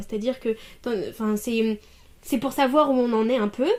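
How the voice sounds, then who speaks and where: A woman with a normal speaking voice talks at a fairly quick pace, her intonation fairly even. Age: 20s. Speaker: master's student in language teaching. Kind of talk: interview answer.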